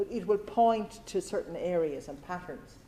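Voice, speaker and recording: This woman speaks with a Cork accent. Her pitch varies in an ordinary way. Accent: Irish (Cork). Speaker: career consultant. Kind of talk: talk with audience Q&A. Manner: fast.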